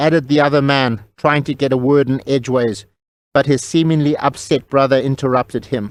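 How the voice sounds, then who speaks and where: The speaker has a normal speaking voice and talks at a fairly quick pace. Intonation stays fairly even and loudness very even. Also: man, fairly high pitch for a man. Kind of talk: audio drama narration.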